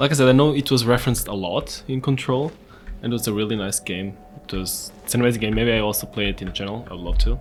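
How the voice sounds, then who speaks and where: The speaker has a non-native accent. The pace is very fast. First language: not English. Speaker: gaming youtuber. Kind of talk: let's play commentary. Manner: casual, chatty.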